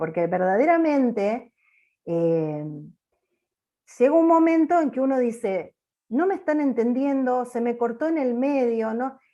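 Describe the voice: A loud woman's voice, fairly high in pitch, dark and mellow in tone, with lively intonation at a fairly slow pace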